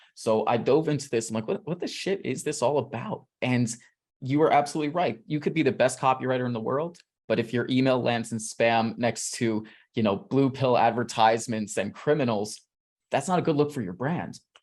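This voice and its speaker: A man with a New York accent, animated and fairly quick, on a very clean recording with a silent background. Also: medium pitch for a man, ordinary pitch variation. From New York City. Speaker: email marketer, interviewee. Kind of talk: interview.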